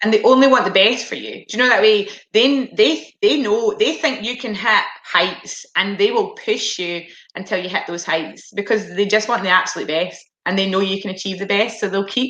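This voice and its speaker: A woman with a Scottish accent speaks at a moderate pace, her medium pitch showing ordinary variation. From Scotland. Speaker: former international hockey player. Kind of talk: Q&A interview.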